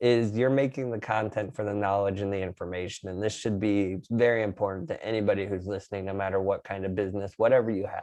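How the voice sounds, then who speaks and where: A man talks at a very fast pace with hardly any pauses, his pitch fairly low and his tone dark and mellow. His intonation stays fairly even against a quiet background. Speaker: video production professional. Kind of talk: casual chat.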